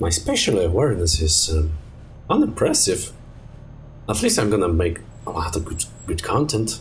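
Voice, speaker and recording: With audible room echo, a man in a Polish accent speaks at a very deep, low pitch with lively intonation and long, frequent pauses. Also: moderate pace. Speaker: streamer. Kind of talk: casual gaming stream storytelling. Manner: halting, many fillers and restarts.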